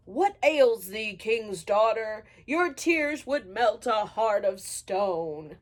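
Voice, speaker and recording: Using a put-on character voice, a woman with a fairly high pitch speaks at a very slow pace with hardly any pauses. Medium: read story. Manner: old-fashioned formal speech.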